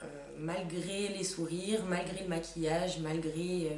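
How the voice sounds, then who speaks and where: There is audible room echo and noticeable background noise as a woman speaks at a fairly low pitch. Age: 20s. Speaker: patient giving testimony. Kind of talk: testimony. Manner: hesitant, many fillers.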